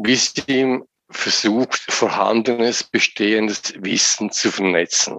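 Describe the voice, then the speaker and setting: At a very slow pace, a man talks in a fairly low voice with fairly even intonation. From central Switzerland, Lucerne. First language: Swiss German (speaking German). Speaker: business simulation developer and trainer. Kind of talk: interview. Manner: repeats words, halting.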